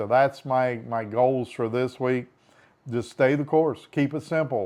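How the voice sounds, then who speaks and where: A man talks at a moderate pace in an unremarkable speaking voice, medium in pitch, with ordinary pitch variation. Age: 60s. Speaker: vlogger. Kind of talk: casual video diary. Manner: conversational.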